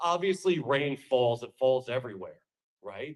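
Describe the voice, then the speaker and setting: An animated tone in a New York accent, with lively intonation at a moderate pace. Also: man. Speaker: political speaker. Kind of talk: campaign speech.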